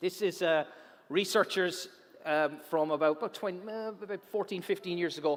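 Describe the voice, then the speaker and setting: Using an Irish accent, a man speaks at a high pitch and moderate pace with ordinary pitch variation. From Ireland. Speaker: science presenter. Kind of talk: public science talk. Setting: auditorium stage with audience. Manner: animated.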